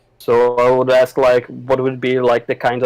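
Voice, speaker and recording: This man's voice sits at a medium pitch, with a dry, close sound and no echo. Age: 20s. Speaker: aspiring game artist, former game developer. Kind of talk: casual chat. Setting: voice chat. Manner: halting.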